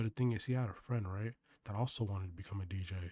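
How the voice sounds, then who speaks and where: Soft-spoken, a man talks with a dark, mellow tone and fairly even intonation. The sound is dry and close, with no echo. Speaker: vlogger. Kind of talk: casual monologue. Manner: monotone.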